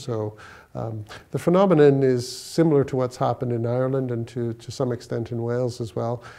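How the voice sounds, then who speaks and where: A dark, mellow tone with a Canadian accent, fairly even intonation and a quiet background. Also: man. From Toronto, Canada. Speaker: law professor and lawyer. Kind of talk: interview answer. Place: office.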